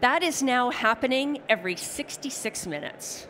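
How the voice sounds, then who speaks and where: In an ordinary speaking voice, a woman with a Canadian accent talks at a moderate pace with lively intonation. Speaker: technology strategist presenting a seminar. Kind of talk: conference presentation. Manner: conversational, casual fillers.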